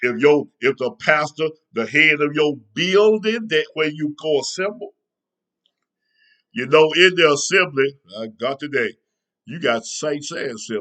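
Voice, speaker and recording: This man's voice is fairly high, with a bright, sharp tone. His intonation is lively and his delivery animated. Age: 60s. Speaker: preacher. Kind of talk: sermon.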